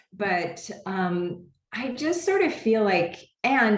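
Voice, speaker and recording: A woman's voice with audible room echo. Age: 60s. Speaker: homeopath and product creator. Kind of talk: interview. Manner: hesitant, many fillers.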